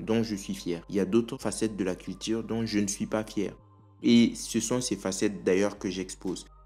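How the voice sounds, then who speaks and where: With music behind him, a man talks at a fairly low pitch. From Africa. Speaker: video commentator. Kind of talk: opinion commentary.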